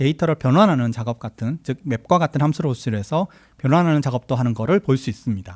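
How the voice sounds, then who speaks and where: A man with a fairly high voice and lively intonation talks at a fairly quick pace, with a dry, close sound and no echo, on a very clean recording with a silent background. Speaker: software engineer giving a conference talk. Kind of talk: tech talk presentation. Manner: fast.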